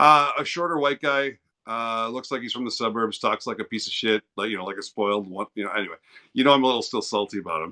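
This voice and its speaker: A man speaks very fast and loudly with an American accent, his pitch medium and its variation ordinary. The tone is bright and sharp, the sound dry and close with no echo, and the background quiet. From East St. Louis, Illinois. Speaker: livestreamer. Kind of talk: casual chat. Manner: animated.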